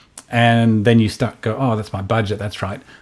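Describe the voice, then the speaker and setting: At a fairly quick pace, a man with an Australian accent speaks in a fairly low pitch. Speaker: tech company founder. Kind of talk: product presentation. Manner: halting, many fillers.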